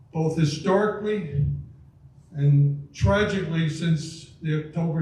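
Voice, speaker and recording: A man's fairly high voice amid audible room echo and noticeable background noise. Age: 80s+. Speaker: lawyer. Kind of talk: speaker introduction.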